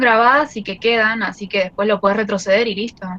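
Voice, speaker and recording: A woman talks very fast at a fairly high pitch. Noticeable background noise can be heard. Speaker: student. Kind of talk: online class discussion.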